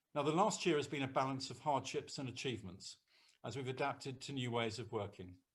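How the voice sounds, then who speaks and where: Speaking at a very fast pace, a man uses a medium pitch and lively intonation in a somewhat breathy voice. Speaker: senior local government official. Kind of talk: formal speech. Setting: video call. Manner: formal. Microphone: too quiet for some listeners.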